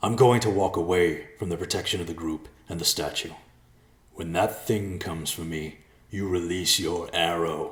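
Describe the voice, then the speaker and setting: Putting on a character voice, this man drops to a very deep, low pitch. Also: moderate pace. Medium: read story. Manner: stoic, steady.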